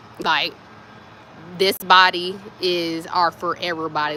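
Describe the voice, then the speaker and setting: Noticeable background noise sits behind a woman's voice. She speaks fairly low with fairly even intonation. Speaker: spiritual wellness vlogger. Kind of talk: casual spiritual advice talk. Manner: soft-spoken, speaks low; casual, meandering.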